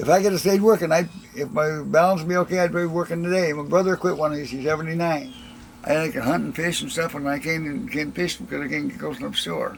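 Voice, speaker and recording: A very fast man with a rural Upper Midwest accent and a fairly high pitch, over noticeable background noise. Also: ordinary pitch variation. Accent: rural Upper Midwest American. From rural Wisconsin. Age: 70s. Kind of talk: interview.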